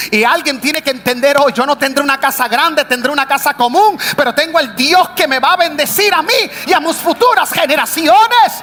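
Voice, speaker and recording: Over noticeable background noise, a man with an extremely high pitch speaks in a raised, projected voice at a fairly quick pace, his tone animated, his intonation lively and his loudness very even. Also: hardly any pauses. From United States. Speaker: pastor. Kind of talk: sermon. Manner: animated, exclamatory preaching.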